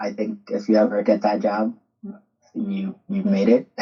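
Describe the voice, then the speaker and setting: Speaking with a Spanish accent, this man moves along at a moderate pace. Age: 30s. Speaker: soccer coach. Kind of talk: podcast interview.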